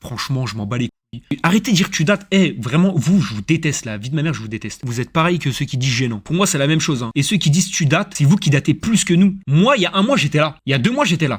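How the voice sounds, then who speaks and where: Speaking at a very fast pace with hardly any pauses, a man uses a fairly high pitch, lively intonation and an animated tone, sounding somewhat breathy. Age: 20s. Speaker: streamer. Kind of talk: casual live stream chat. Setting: streaming studio.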